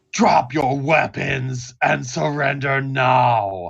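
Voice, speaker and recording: A man does a put-on character voice with a raspy edge and medium pitch. He talks at a very slow pace. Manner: commanding.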